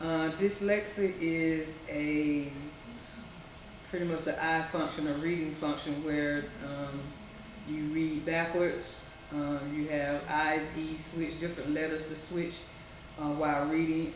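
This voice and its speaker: Her pitch very deep and low, a woman speaks fairly slowly in a flat monotone, with audible room echo and noticeable background noise. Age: 60s. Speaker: college graduate. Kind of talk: interview. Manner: halting, many fillers.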